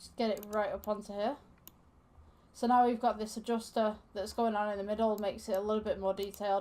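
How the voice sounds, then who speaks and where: A woman with a fairly high pitch and a dark, mellow tone talks at a very fast pace in a monotone, flat intonation. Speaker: Blender tutorial creator. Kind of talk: tutorial. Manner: casual with many fillers.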